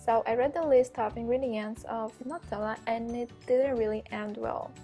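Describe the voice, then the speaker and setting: With music in the background, a woman with a non-native accent speaks at a fairly high pitch and fairly even intonation. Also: moderate pace. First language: not English. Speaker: graphic design student, home cook. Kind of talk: cooking class instruction.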